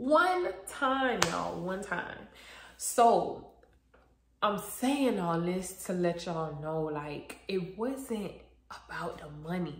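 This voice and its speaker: A woman talks at a very slow pace with lively intonation. Audible room echo and light background noise surround her voice. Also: big swings in loudness. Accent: American. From South Florida, Broward County; Florida. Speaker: YouTuber and makeup artist; YouTuber. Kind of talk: casual chat. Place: home room. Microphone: phone near.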